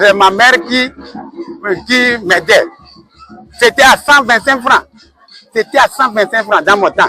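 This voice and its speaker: A raised, projected voice carries over background music, the sound dry and close with no echo. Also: man. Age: 60s. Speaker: school director. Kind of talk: interview. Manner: halting.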